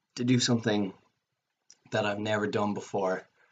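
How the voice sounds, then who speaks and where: Man with a Cork accent, fairly low in pitch, moderate pace, monotone, flat intonation. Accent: Cork Irish. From Ireland, Cork. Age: 20s. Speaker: student. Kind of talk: video application self-introduction. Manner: hesitant with frequent fillers.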